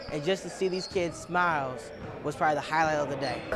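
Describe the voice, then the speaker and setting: Behind a man there is noticeable background noise. His very fast speech has fairly even intonation. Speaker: sports reporter / anchor. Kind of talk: sports news broadcast demo reel.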